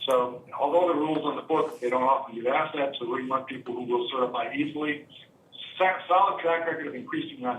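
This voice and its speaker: A man talks in a fairly high voice. Noticeable background noise runs behind him. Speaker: superintendent search consultant. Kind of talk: presentation at board meeting; answering board questions. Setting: school board meeting. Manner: fast.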